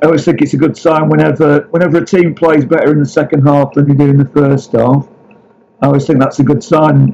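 Here a man speaks in a Lancashire accent with a dark, mellow tone. His voice is fairly high, his pace fairly quick, and his intonation fairly even. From Lancashire (Blackburn). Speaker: football writer. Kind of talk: interview.

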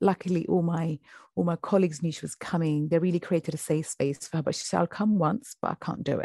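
A woman speaks at a fairly quick pace against a quiet background. Her fairly low, somewhat breathy voice has a dark, mellow tone and ordinary pitch variation. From UK. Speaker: FGM survivor and activist. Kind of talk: interview testimony.

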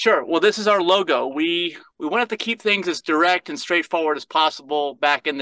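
Talking at a very fast pace with an American accent, this speaker has a bright, sharp tone and lively intonation, heard as a dry, close sound with no echo. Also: man. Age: 50s. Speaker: lifestyle nutritionist. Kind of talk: interview.

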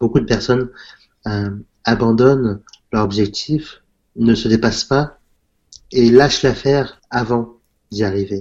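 At a fairly slow pace with long, frequent pauses, a man speaks in a medium pitch with fairly even intonation. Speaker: self-taught entrepreneur. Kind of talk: interview. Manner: halting, many fillers.

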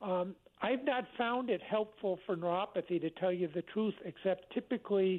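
A man talks at a moderate pace, his high voice showing ordinary pitch variation. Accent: American. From Connecticut. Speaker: caller, medical marijuana patient. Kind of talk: call-in radio conversation. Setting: phone call. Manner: halting.

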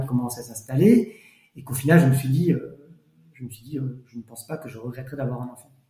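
A man talks at a very fast pace. The room echo is audible. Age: 40s. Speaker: lawyer. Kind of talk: testimony.

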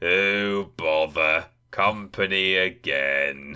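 A man's put-on character voice, very deep and low, grumpy in tone and very slow in pace. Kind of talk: sighing, resigned. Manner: grumpy, gloomy.

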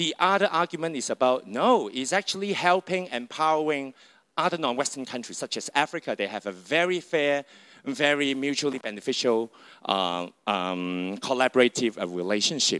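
A man speaks at a moderate pace in a bright, sharp tone with very wide pitch swings. The recording is very clean, with a silent background. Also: fairly high pitch for a man, dry, close sound with no echo. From China. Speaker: associate professor. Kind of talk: lecture. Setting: stage with audience.

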